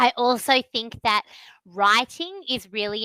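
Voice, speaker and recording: An Australian accent carries a bright, sharp tone with ordinary pitch variation. The sound is dry and close, with no echo. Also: woman. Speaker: online English tutor. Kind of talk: online English lesson conversation.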